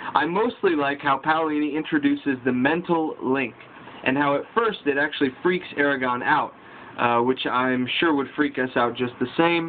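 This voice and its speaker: Over noticeable background noise, a man with a fairly high pitch speaks at a moderate pace, his loudness very even and his pitch variation ordinary. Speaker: book vlogger. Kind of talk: casual book review vlog. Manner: reading from notes.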